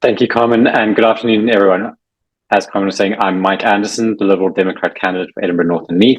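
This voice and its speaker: Speaking at a very fast pace, a man with a South African accent keeps a fairly low pitch and fairly even intonation. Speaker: election candidate. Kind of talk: prepared campaign speech.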